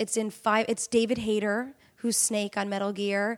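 A woman speaks with an American accent. Her voice is fairly high in pitch and animated in tone. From New York State, Middletown. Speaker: actress and voice actor. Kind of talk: casual chat.

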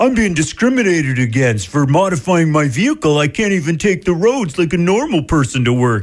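In a put-on character voice, a man whines at a fairly high pitch with a whiny tone, very wide pitch swings, and a fairly quick pace with hardly any pauses. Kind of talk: exaggerated, affected. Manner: whiny, complaining, mocking.

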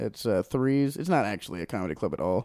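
A man's dark, mellow voice with lively intonation comes through dry and close with no echo, on a very clean recording with a silent background. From Hawaii. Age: 20s. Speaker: podcast host and comedian. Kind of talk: casual chat. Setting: bedroom recording.

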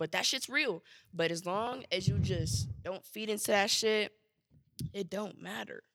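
A woman's fairly slow, lively-toned voice with vocal fry and an American accent. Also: medium pitch for a woman. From Chicago west side. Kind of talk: casual chat, comedy podcast.

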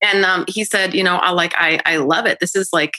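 Fairly quick and at medium pitch, a woman talks in a plain, everyday voice. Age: 30s. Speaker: singer-songwriter and voiceover artist. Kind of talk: casual chat. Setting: video call.

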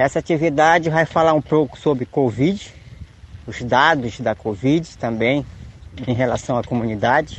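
In a normal speaking voice, a man talks at a fairly slow pace, his medium pitch showing ordinary variation. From Tapajós river, Pará, Brazil. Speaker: community leader. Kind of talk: radio announcement.

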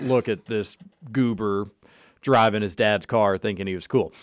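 A man with a slight Kentucky accent at a moderate pace. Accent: slight Kentucky twang. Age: 30s. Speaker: sports radio host. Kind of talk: casual sports talk radio. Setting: radio studio.

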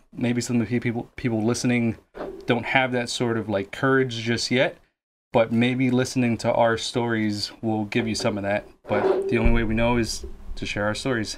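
A man's normal speaking voice at a medium pitch, with fairly even intonation and a moderate pace. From Guatemala, raised in Lawrence, Massachusetts. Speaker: podcast co-host and new electrician. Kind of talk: casual chat. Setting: studio.

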